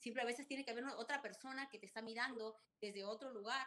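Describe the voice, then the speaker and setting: A woman speaks at a fairly quick pace with a fairly high pitch and a bright, sharp tone. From Peru, Chimbote. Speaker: restaurant entrepreneur and author. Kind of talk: interview. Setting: video call.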